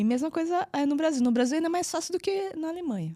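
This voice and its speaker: A woman in a São Paulo accent, with lively intonation and a fairly quick pace. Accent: Brazilian Portuguese, São Paulo. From Brazil, São Paulo. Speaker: physiotherapist and entrepreneur. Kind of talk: interview. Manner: halting.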